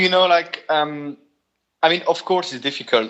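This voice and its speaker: At a moderate pace, a man talks with a strong French accent. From Belgium. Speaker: guitarist and studio owner. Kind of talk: interview. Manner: halting, many repetitions.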